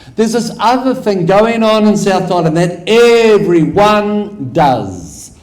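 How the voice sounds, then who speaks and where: A man's high-pitched voice with a New Zealand accent, fairly slow and very even in loudness, over noticeable background noise. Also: ordinary pitch variation. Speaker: academic researcher. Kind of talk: conference lecture.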